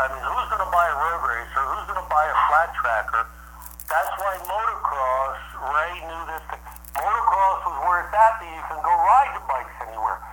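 Through noticeable background noise and audible room echo, a man with an American accent speaks at a moderate pace, his high pitch moving with lively intonation. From US East Coast. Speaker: former pro motocross racer. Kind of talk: interview.

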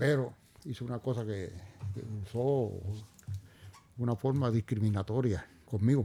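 A man with a Puerto Rican accent speaks fairly slowly at a medium pitch in a dark, mellow, somewhat breathy tone, with ordinary pitch variation and long, frequent pauses. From Puerto Rico, barrio Río Arriba. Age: 70s. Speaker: retired police officer and businessman. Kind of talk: interview.

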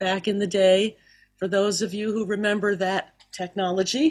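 A woman at medium pitch with an American accent speaks in a plain, everyday voice with fairly even intonation. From US South, Miami. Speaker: cantor and singing teacher. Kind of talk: interview. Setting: video call.

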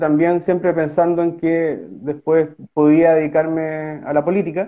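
Speaking at a fairly slow pace, a man with a Chilean accent has a fairly high voice. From southern Chile, Osorno. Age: 30s. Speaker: lawyer and political candidate. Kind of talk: interview. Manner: halting.

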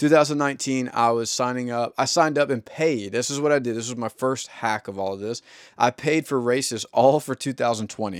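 On a very clean recording with a silent background, a man with a normal speaking voice talks at medium pitch and a moderate pace. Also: ordinary pitch variation, dry, close sound with no echo. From US South. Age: 30s. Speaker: podcast host. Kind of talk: solo monologue. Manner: casual.

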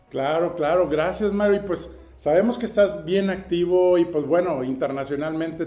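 A man talks at a fairly slow pace with ordinary pitch variation. Room echo is audible. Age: 50s. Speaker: podcast host. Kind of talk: interview.

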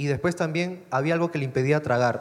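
A man speaks at a moderate pace. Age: 20s. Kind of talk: testimony.

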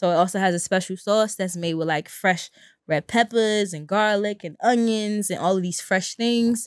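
With a Brooklyn accent, a woman is heard in a very clean recording with a silent background and a dry, close sound with no echo. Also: medium pitch for a woman, ordinary pitch variation, moderate pace. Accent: New York (Brooklyn). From Brooklyn, New York (East New York). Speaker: vegan chef. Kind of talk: casual chat.

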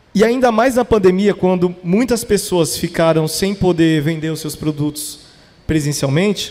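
Moving at a moderate pace, a high-pitched man speaks with lively intonation. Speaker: podcast founder. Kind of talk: casual chat. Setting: stage with audience.

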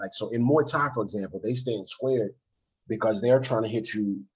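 The speech has an American accent. There is a somewhat breathy quality to it. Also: man. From DMV (Washington DC area). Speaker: martial arts instructor and YouTuber. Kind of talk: casual chat.

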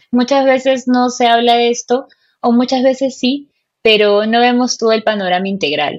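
A woman speaks in a high voice at a moderate pace. Her loudness stays very even throughout. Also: ordinary pitch variation. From Peru. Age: 20s. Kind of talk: casual chat about faith. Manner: halting, many fillers.

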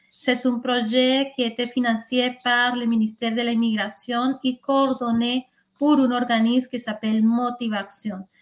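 A woman's high voice at a fairly slow pace, flat and monotone, with a Spanish accent. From Colombia. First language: Spanish (speaking French). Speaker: intercultural liaison worker. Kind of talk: interview.

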